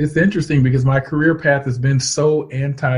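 A man's somewhat breathy voice at a very fast pace. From US South, Georgia (Canton). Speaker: meteorology professor. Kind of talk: interview.

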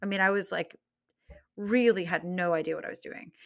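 Bright and sharp in tone, a woman speaks in an American accent at a moderate pace with ordinary pitch variation. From North Carolina, rural. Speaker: Broadway music director and conductor. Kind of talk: interview.

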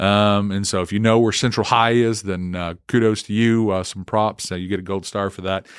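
This man talks at a moderate pace with a fairly low pitch and hardly any pauses, in an Oklahoma accent. His intonation is monotone and flat, and the recording is very clean with a silent background. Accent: Oklahoma Southern US. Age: 40s. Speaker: student pastor. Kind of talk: casual monologue. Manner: halting, many fillers.

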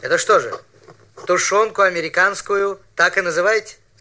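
A man speaks at a very slow pace. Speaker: documentary narrator. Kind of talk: scripted historical documentary narration. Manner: formal, measured, authoritative.

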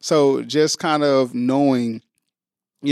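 A man with a St. Louis accent speaks in a monotone, flat intonation, with a dry, close sound and no echo. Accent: Midwestern US, St. Louis. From St. Louis, Missouri (North St. Louis). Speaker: school district recruiter. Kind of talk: casual interview. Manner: smooth.

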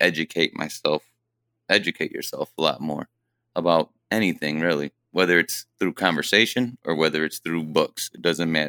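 On a very clean recording with a silent background and a dry, close sound with no echo, a man with a Midwestern American accent speaks in a very deep, low pitch with a bright, sharp tone and fairly even intonation. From Fremont, Ohio. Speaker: welder. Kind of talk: interview. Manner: halting.

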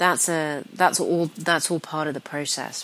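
Over noticeable background noise, a woman with a very deep, low pitch speaks at a moderate pace in fairly even intonation. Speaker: spiritual coach. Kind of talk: podcast sales pitch. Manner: hesitant with fillers.

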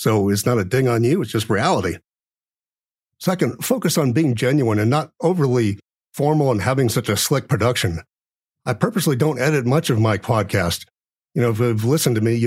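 On a very clean recording with a silent background, a man speaks at a fairly quick pace in a somewhat breathy voice with very even loudness. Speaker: podcast host and small business owner. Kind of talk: solo podcast monologue. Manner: many filler words.

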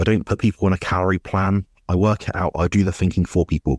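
A man with a British accent and a very deep, low pitch talks at a fairly quick pace in a dry, close sound with no echo. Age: 20s. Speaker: nutrition coach. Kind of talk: interview. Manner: hesitant, many fillers.

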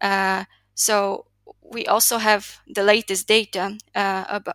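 The speaker has a Slovak accent and a bright, sharp tone with monotone, flat intonation. The recording is very clean and dry, close with no echo, over a silent background. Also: woman. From Slovakia. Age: 20s. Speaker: youth development advocate. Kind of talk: interview.

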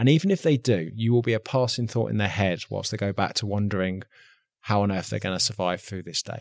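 A man talks at a very fast pace with an English accent in a fairly low pitch. His pitch varies in an ordinary way, and the sound is dry and close with no echo. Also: very clean recording, silent background. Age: 30s. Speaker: army veteran, gym owner and content creator. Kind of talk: podcast interview.

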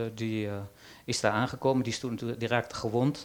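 With fairly even intonation, a man talks at a medium pitch and a moderate pace. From Netherlands. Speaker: journalist and author. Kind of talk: panel discussion. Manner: halting.

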